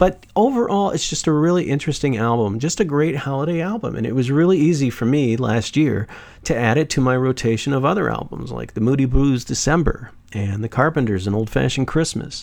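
A man talks at a fairly quick pace with hardly any pauses. His tone is warm and enthusiastic, and his intonation is lively. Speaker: radio host. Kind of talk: radio DJ patter: upbeat music-show intro and sign-off. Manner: warm, enthusiastic, chatty, conversational with fillers; smooth promotional plug for the website.

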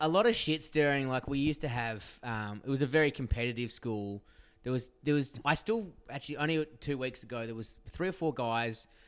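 Over background music, a man with an Australian accent and a medium pitch speaks fairly quickly, his pitch varying in an ordinary way. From Western Australia, Perth area. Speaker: podcast guest, friend of host. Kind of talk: casual chat.

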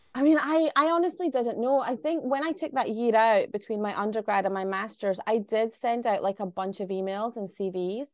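Lively intonation from a woman with a Glaswegian accent, fairly high in pitch, with hardly any pauses over a quiet background. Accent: Glaswegian Scottish. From Glasgow, Scotland. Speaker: writer-director. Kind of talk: interview.

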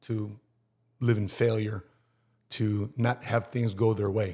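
A man's medium-pitched, somewhat breathy voice at a moderate pace, with fairly even intonation, on a very clean recording with a silent background. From Chicago, Filipino-American family. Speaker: Marine veteran and insurance entrepreneur. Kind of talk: casual interview chat.

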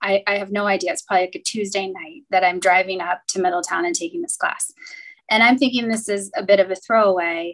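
With an American accent, a woman talks at a very fast pace in a medium pitch, her intonation lively. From US Midwest, Cincinnati. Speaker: banking executive. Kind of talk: interview.

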